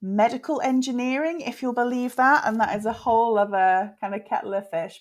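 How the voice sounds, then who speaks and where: Her pace is moderate. The woman speaks with a British accent. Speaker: fertility specialist and author. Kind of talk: interview.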